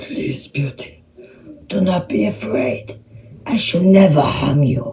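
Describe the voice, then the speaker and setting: In a gruff, put-on character voice of low-to-middle pitch, the speaker talks at a fairly slow pace. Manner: gentle.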